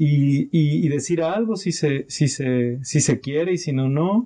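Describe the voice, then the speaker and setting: This man's fairly high-pitched voice carries a dark, mellow tone. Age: 30s. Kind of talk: casual chat. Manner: halting, repeats words.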